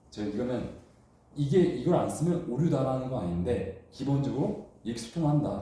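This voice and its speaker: Audible room echo carries a man's animated tone and very wide pitch swings. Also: medium pitch for a man, moderate pace. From China. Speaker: instructor. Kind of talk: lecture.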